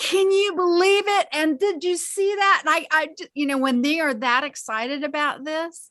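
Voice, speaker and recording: Pitched extremely high, a woman speaks in a raised, projected voice with a bright, sharp tone, lively intonation and a moderate pace. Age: 60s. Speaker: quantum healing practitioner and teacher. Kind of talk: interview.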